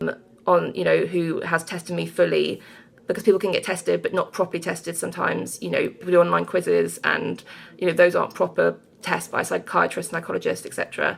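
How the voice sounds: A woman's fairly low voice, with a slightly husky edge, vocal fry and little pitch movement. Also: fairly quick pace.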